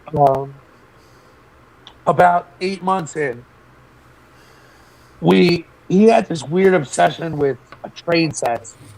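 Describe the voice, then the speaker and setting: Against noticeable background noise, a man with a fairly high pitch and ordinary pitch variation speaks at a very slow pace with long, frequent pauses. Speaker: former boarding school student. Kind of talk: interview testimony.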